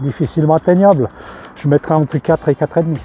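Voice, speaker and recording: A man with a fairly high voice speaks with ordinary pitch variation in a dry, close recording with no echo and music playing in the background. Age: 60s. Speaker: retired nurseryman, plant conservatory manager. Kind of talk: product testimonial interview. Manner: hesitant, many fillers.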